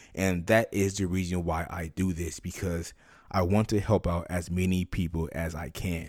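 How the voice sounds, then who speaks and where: A man's very deep, low voice at a fairly slow pace, on a very clean recording with a silent background. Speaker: podcast host and tutor. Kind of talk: tutorial. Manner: informal, friendly, explaining.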